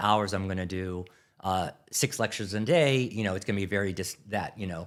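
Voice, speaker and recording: A man with a Philadelphia accent speaks at a fairly low pitch. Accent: Philadelphia accent, clipped enunciation. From US Northeast, Philadelphia. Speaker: grocery category manager. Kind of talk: podcast interview. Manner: fast; animated.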